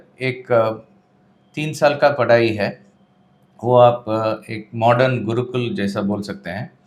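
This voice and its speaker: His voice sits in a mid range for a male speaker. The man's intonation rises and falls to a normal degree. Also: long, frequent pauses, big swings in loudness. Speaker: Vedanta teacher. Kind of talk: interview. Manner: halting, many fillers.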